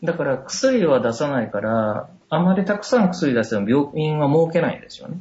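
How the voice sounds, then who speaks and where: At a moderate pace and with hardly any pauses, a man with a fairly high pitch uses very wide pitch swings and big swings in loudness. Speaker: doctor and medical professor. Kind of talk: casual interview. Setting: Skype call.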